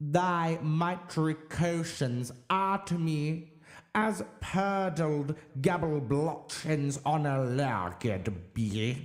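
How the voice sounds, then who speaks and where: A man speaks in a put-on character voice, pitched fairly high. His delivery is very slow. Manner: impassioned, strident.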